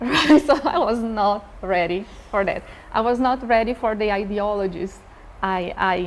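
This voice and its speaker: A woman in a Brazilian Portuguese accent, fairly high-pitched with ordinary pitch variation, at a moderate pace over noticeable background noise. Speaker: professor. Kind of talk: panel discussion.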